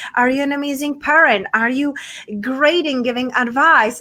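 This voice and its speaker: Raised and projected, a woman's high voice has a bright, sharp tone. She speaks in a Czech accent at a moderate pace. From Czech Republic, small town. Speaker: podcaster and TV show host, coach. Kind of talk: interview.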